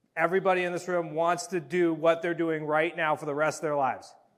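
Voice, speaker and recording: With an American accent and a high pitch, a man talks in an animated tone at a very fast pace. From Massachusetts. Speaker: real estate coach. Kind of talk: seminar talk. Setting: stage with audience.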